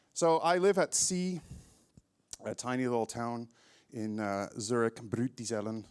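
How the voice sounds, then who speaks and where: Lively intonation marks a man with an American accent and an unremarkable speaking voice at medium pitch. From California. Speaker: network engineer. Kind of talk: conference talk. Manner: casual, many filler words.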